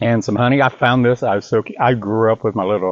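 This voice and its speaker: A man talks at a fairly quick pace. His medium-pitched voice keeps a fairly even intonation. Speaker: cooking channel host. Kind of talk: cooking tutorial. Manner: fast; casual, chatty.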